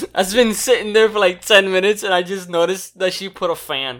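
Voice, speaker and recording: Speaking at a fairly quick pace with ordinary pitch variation and big swings in loudness, this voice comes through in a very clean recording with a silent background. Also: man. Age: 20s. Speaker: podcast co-host. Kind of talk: casual chat. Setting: at home.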